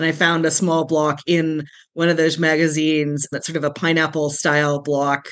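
This is a plain, everyday voice with a Canadian accent. It goes at a moderate pace. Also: woman. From Calgary, Alberta, Canada. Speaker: quilter. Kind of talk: interview.

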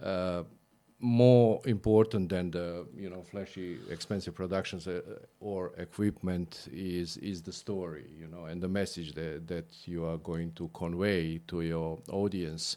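Very deep and low, a man's voice with a Croatian accent carries a dark, mellow tone and big swings in loudness at a fairly slow pace, in a very clean recording with a silent background. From Croatia (Split, former Yugoslavia). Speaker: videographer. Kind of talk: interview.

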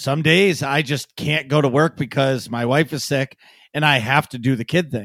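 A man with a normal speaking voice and a fairly high pitch talks at a moderate pace with ordinary pitch variation, recorded very cleanly against a silent background in a dry, close sound with no echo. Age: 30s. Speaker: podcast co-host and streamer. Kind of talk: casual chat.

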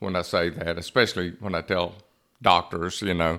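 In a very clean recording with a silent background, a man with a very deep, low pitch speaks at a moderate pace. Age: 70s. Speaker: podcast host. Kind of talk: casual interview chat. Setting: studio.

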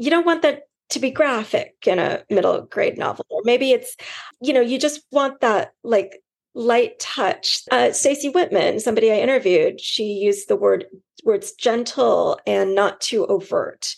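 A woman with a Californian accent speaks at a fairly slow pace. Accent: General American (Californian). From California, suburban. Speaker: book editor. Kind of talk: interview answers.

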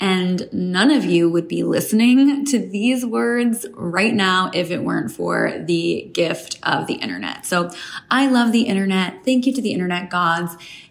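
Over noticeable background noise, a woman talks at a fairly slow pace with a medium pitch and lively intonation. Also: hardly any pauses. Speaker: podcast host. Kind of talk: scripted intro.

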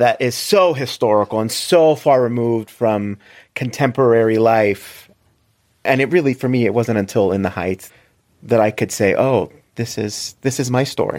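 In an American accent, a man with an unremarkable speaking voice talks at medium pitch and a moderate pace. The recording is very clean, with a silent background. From South Florida. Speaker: theater director. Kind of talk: casual interview.

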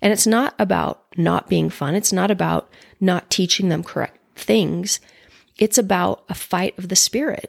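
At a fairly slow pace, a woman with an American accent speaks in a very clean recording with a silent background. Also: dry, close sound with no echo. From Utah, Orem. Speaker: podcast guest sharing her story of leaving religion. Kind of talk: personal testimony in conversation. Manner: halting, repeats words.

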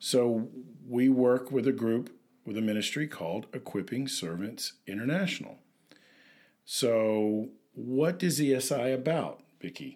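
With an American accent, a man speaks in a plain, everyday voice of medium pitch at a fairly slow pace with ordinary pitch variation, on a very clean recording with a silent background. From US South, Memphis, Tennessee. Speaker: podcast co-host, missions counselor. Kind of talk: casual chat. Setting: home office.

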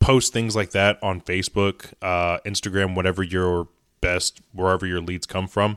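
Someone speaks at a moderate pace in monotone, flat intonation, with a Midwestern American accent. The recording is very clean with a silent background, and the sound is dry and close with no echo. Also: man, very deep, low pitch for a man. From US Midwest, Indiana. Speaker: podcast host, car detailer. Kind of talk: casual solo podcast talk. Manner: halting, many fillers.

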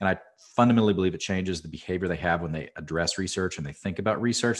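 Against a quiet background, a man with an American accent speaks in a very deep, low pitch with ordinary pitch variation. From US, rural cattle ranch. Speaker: market research executive. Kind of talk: interview. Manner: halting, many fillers and repeats.

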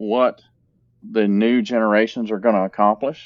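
This man has an unremarkable speaking voice with an American accent. He talks at a medium pitch and a moderate pace. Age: 50s. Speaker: healthcare facilities executive. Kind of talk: interview.

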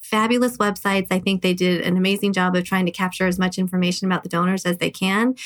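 A woman with an American accent at a medium pitch, very fast, with monotone, flat intonation. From Southern California. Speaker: fertility patient and mother. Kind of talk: casual interview.

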